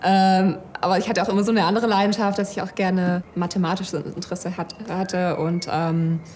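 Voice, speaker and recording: Against noticeable background noise, a woman with a medium pitch speaks at a fairly quick pace in a monotone, with flat intonation. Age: 30s. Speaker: data scientist and project manager. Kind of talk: employee interview. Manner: hesitant, many fillers.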